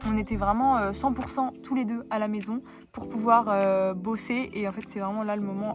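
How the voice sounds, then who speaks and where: A woman's fairly high, fairly even voice at a moderate pace, with noticeable background noise. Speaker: vlogger. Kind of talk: casual chat. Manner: halting, many fillers.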